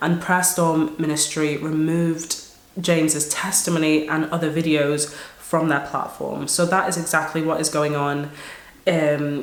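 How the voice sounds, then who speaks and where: Someone talks at a fairly slow pace in a flat, monotone way over noticeable background noise. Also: woman, very deep, low pitch for a woman. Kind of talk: casual talk to camera.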